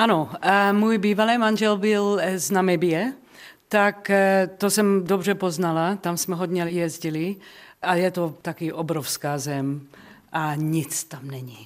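The recording is very clean, with a silent background. A woman with a fairly low pitch speaks at a very slow pace. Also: ordinary pitch variation. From South Africa (Czech-born). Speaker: jazz singer. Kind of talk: radio interview. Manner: halting.

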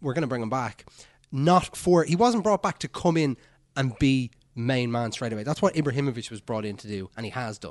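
A man talks at a fairly quick pace and medium pitch in a plain, everyday voice. His loudness swings widely against a quiet background. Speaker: podcast host. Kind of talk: casual chat.

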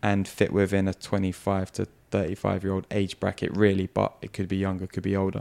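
Very fast and with hardly any pauses, a man speaks in a very deep, low voice with monotone, flat intonation. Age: 30s. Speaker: podcast host and mindset coach. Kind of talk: casual chat.

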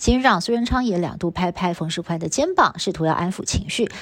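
Her medium-pitched voice moving at a fairly quick pace, a woman speaks with ordinary pitch variation. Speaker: news anchor. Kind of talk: news reading. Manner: formal.

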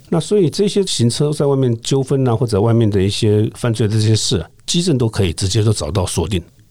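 Talking at a fairly quick pace with hardly any pauses, a man with a medium pitch and a dark, mellow tone uses lively intonation at a very even loudness. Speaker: retired police detective. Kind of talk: interview conversation.

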